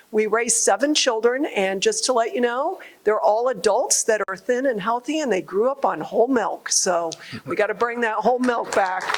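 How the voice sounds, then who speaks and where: The woman has a plain, everyday voice with a fairly high pitch. She talks at a moderate pace with lively intonation. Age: 60s. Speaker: congresswoman and farmer. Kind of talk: public remarks at a listening session. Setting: agricultural show hall with audience.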